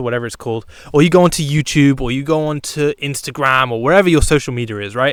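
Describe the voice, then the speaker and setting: This man talks at a fairly quick pace. His pitch is fairly high. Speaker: YouTube commentary creator. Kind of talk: casual commentary monologue. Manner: conversational, with frequent fillers and repetitions.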